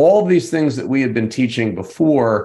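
Lively intonation marks this man's speech. His voice sits at a medium pitch with a dark, mellow tone. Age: 50s. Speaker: CEO and author. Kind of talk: interview. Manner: halting.

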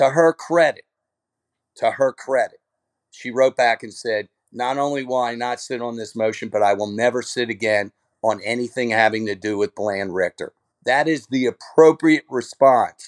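An unremarkable speaking voice with ordinary pitch variation at a moderate pace, dry and close with no echo, against a quiet background. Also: man, medium pitch for a man. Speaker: lawyer. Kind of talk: casual chat.

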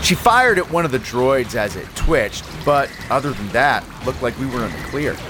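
With music in the background, a man delivers lines in a dramatic tone at a medium pitch, using lively intonation and a fairly quick pace. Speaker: fiction podcast creator and narrator. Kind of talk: scripted first-person war-story narration. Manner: tense, gritty, urgent; vivid, dramatic, action-driven.

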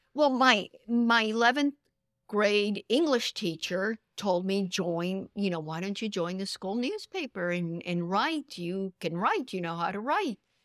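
A woman with a Spanish accent speaks at a fairly slow pace in a medium pitch, her intonation lively and the sound dry and close with no echo. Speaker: author and newspaper columnist. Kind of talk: casual interview. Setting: bookstore, recorded in person.

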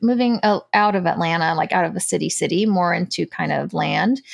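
Speaking at a moderate pace with an American accent, the speaker has a normal speaking voice. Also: woman. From United States, Cuban parents. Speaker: homesteader and former nurse. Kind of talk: casual chat.

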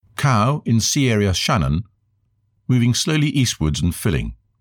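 On a very clean recording with a silent background, a man with a British accent speaks at a moderate pace, his pitch swinging very widely. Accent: BBC-style British English. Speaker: eyewitness. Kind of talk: interview. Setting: outdoors.

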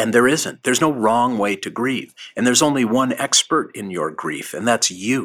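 A plain, everyday voice from a man, medium in pitch at a moderate pace, with ordinary pitch variation and hardly any pauses, on a very clean recording with a silent background. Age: 60s. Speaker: rabbi. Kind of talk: interview.

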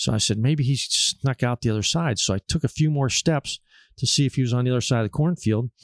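A man's plain, everyday voice at a fairly quick pace, ordinary pitch variation, a dry, close sound with no echo, and a very clean recording over a silent background. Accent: American. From Pennsylvania, Erie area. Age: 60s. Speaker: taxidermist and hunter. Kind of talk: casual chat. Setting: hunting camp.

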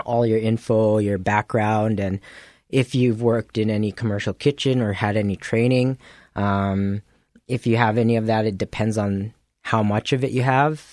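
In a quiet background with a dry, close sound and no echo, a man with an unremarkable speaking voice and a Canadian accent talks at a fairly low pitch with fairly even intonation. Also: moderate pace. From Winnipeg, Canada. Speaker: chef, cooking show runner-up. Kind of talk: radio interview.

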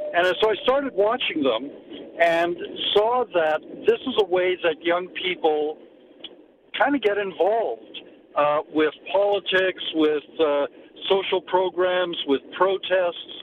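Very slow, lively speech from a high-pitched man with a Canadian accent, long, frequent pauses and noticeable background noise. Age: old. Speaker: journalism professor. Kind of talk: interview.

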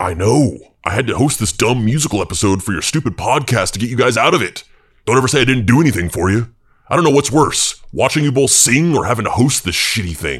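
A man puts on a character voice at medium pitch. He speaks at a very fast pace. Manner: crude, profane, gruff.

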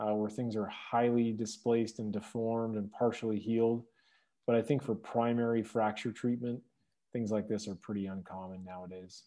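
Over a quiet background, a man speaks at a moderate pace with a medium pitch and a monotone, flat delivery. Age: 30s. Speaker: orthopedic trauma surgeon. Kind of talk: interview.

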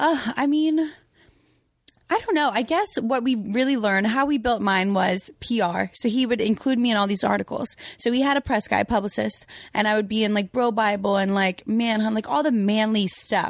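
The speaker, in an American accent, shows ordinary pitch variation in a very clean recording with a silent background. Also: woman, fairly high pitch for a woman, moderate pace. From Louisiana, US. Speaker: Instagram model. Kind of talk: casual chat. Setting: home studio.

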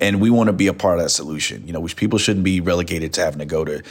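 A man with an American accent talks at a very fast pace in a very deep, low voice. There is noticeable background noise. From US South, Atlanta. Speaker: bank executive. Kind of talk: interview.

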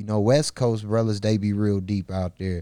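In an American accent, the speaker talks at a moderate pace with a dark, mellow tone and fairly even intonation, the sound dry and close with no echo on a very clean recording against a silent background. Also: man. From Milwaukee, Wisconsin (north side). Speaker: rapper. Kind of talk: casual interview chat.

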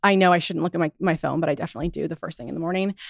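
A woman speaks at a fairly low pitch with vocal fry. The sound is dry and close with no echo, on a very clean recording with a silent background. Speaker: fitness instructor and studio founder. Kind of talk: casual interview chat. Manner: calm, relaxing.

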